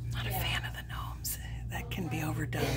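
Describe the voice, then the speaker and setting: Speech comes at a moderate pace with clear music in the background. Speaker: shopper vlogger. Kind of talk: casual vlog chat. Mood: excited, delighted. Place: shop. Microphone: phone near.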